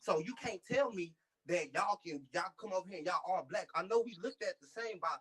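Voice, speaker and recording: A bright, sharp tone moves at a fairly quick pace, heard dry and close with no echo. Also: man. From United States. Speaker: clubhouse room participant. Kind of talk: heated debate. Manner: animated, repetitive.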